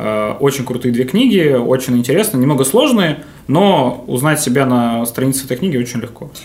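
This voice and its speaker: A moderate pace and ordinary pitch variation over noticeable background noise. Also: man, medium pitch for a man. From Novosibirsk, Russia. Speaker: hotel manager. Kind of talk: casual interview. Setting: hotel room studio.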